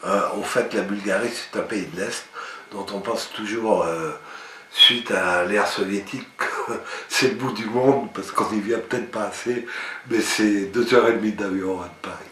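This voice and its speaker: Fairly low-pitched man at a fairly slow pace, fairly even intonation, noticeable background noise. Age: 60s. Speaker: dental patient. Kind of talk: testimonial to camera.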